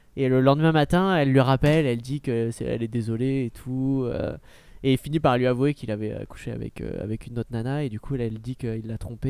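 A man with a medium-pitched, dark, mellow voice talks at a fairly quick pace with ordinary pitch variation. The recording is very clean, with a silent background. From southwest France, then Nancy. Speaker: podcast co-host. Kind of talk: casual chat.

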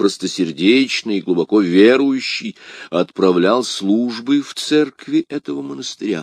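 A reading voice, unforced.

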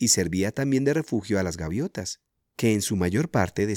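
Against a quiet background, the reading aloud is plain.

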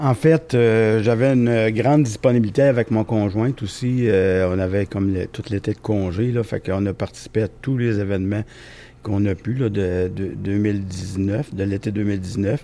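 In a Quebec accent, a man speaks at a fairly slow pace with a dark, mellow tone and fairly low pitch. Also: ordinary pitch variation. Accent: Québécois French. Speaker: volunteer. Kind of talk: casual chat. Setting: makeshift studio at an event.

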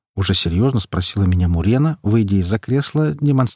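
Lively intonation over plain reading aloud.

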